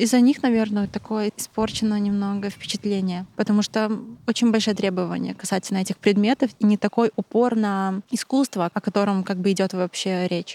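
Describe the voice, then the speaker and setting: In a dry, close sound with no echo, a woman speaks in a dark, mellow tone with fairly even intonation. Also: medium pitch for a woman, moderate pace. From Belarus. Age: 20s. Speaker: photographer. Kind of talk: casual interview.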